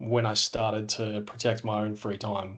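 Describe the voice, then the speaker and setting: A man talks at a very slow pace. He has an Australian accent. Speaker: business owner. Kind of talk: podcast interview. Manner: halting, many filler words.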